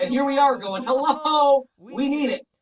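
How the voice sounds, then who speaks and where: Here is a man with an American accent. His pitch is extremely high. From US South, Florida (Davie). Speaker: finance YouTuber. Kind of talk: commentary to camera. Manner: fast.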